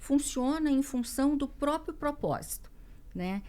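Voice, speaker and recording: A woman is talking. She has a dark, mellow tone. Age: 60s. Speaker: business executive and leadership coach. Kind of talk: interview. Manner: hesitant with many fillers.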